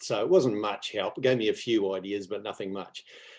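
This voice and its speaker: With a New Zealand accent, a man talks with ordinary pitch variation. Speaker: property investor. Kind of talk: interview. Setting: video call. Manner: halting.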